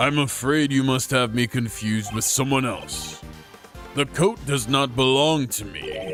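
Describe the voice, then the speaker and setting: A man uses a put-on character voice at medium pitch and a moderate pace, with clear music in the background. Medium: game stream. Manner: smooth, overly polite.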